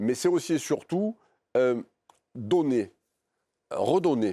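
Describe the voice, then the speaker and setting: A man speaks with a strong Marseille accent at a very slow pace, using lively intonation. The recording is very clean with a silent background. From France, Marseille northern districts. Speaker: coach and university professor. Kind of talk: interview. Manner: hesitant, many fillers.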